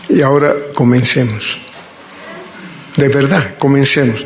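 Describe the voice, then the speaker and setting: A man speaks at a moderate pace with a fairly high pitch. Noticeable background noise and audible room echo fill the recording. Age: 60s. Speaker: preacher. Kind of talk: sermon.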